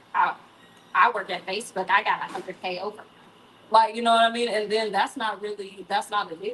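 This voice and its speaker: A woman speaks over noticeable background noise. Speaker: event moderator. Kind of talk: panel discussion. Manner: loud.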